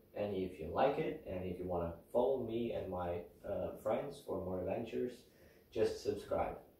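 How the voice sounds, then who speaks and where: At a moderate pace, a man talks amid audible room echo and noticeable background noise. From Sweden. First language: Swedish. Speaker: outdoor vlogger. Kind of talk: gear tutorial. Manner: casual, hesitant with fillers.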